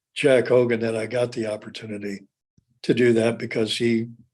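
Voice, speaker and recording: A man's medium-pitched voice with a Midwestern American accent and monotone, flat intonation. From Indiana. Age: 70s. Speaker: former athlete and physical therapy clinic owner. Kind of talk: interview. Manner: halting, frequent word repetition.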